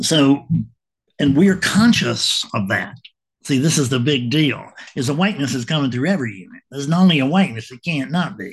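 Somewhat breathy and fairly high-pitched, a man talks at a fairly quick pace with lively intonation and big swings in loudness. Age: 70s. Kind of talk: casual monologue to camera. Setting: home video recording. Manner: halting.

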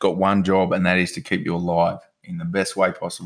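Very deep and low in pitch, a man talks at a fairly quick pace with an Australian accent and monotone, flat intonation in a very clean recording with a silent background. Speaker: podcast host. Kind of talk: casual chat.

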